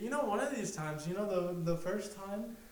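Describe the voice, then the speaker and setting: Moderate-paced talk from a man, audible room echo and noticeable background noise around it. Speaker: podcast co-host. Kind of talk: casual chat. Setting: home garage. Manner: halting, many fillers.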